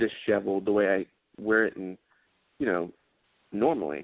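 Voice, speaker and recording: Speaking at a moderate pace with a Southern US accent, a man keeps a fairly low pitch and fairly even intonation. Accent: southern twang. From South Carolina, near Charlotte. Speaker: actor. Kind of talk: casual interview chat.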